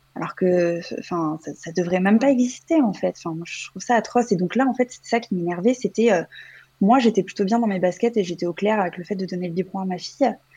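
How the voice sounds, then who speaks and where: Somewhat breathy, a woman speaks at a medium pitch with a dark, mellow tone and big swings in loudness. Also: ordinary pitch variation, fairly quick pace. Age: 30s. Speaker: mother, childcare assistant. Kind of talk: interview testimony.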